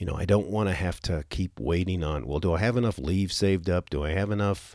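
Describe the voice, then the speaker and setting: A man with vocal fry speaks in a very deep, low voice at a moderate pace on a very clean recording with a silent background. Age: 50s. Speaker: podcast host, military retiree. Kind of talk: solo podcast monologue. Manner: halting, many fillers and repeats.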